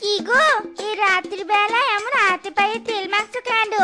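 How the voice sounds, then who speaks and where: A cartoonish character voice, female-sounding and extremely high-pitched, at a moderate pace over faint music in the background. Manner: reproachful.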